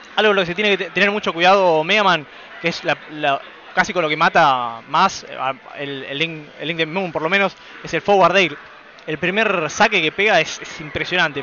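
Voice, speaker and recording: Over noticeable background noise, a man with a high pitch and an animated tone talks at a fairly quick pace with ordinary pitch variation. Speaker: esports commentator. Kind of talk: live commentary.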